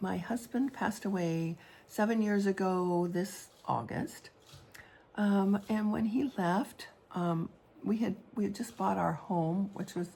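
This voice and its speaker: A woman talks at a medium pitch with ordinary pitch variation. Her voice is somewhat breathy. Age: 70s. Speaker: artist and widow vlogger. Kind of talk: personal vlog monologue. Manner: halting, many fillers.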